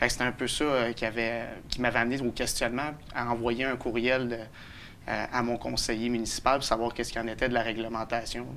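A man talks at a fairly quick pace in a bright, sharp tone. His intonation is monotone and flat, with light background noise behind him. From Quebec, Beloeil; Quebec. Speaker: citizen initiator of a local project; interviewee. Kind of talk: TV interview. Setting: studio. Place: studio. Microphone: lapel.

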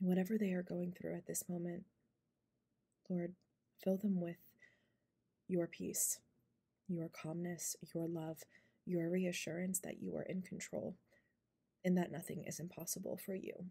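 A soft-spoken, somewhat breathy woman with a fairly low pitch, dark, mellow tone, and monotone, flat intonation, at a fairly slow pace with long, frequent pauses, over a quiet background. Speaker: ASMR creator. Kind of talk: spoken prayer. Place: home room. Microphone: phone near.

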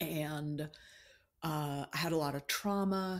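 With an American accent, a woman speaks at a very deep, low pitch. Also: very clean recording, silent background. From US, Maryland near Washington D.C. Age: 60s. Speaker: poet and writing teacher. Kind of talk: casual interview.

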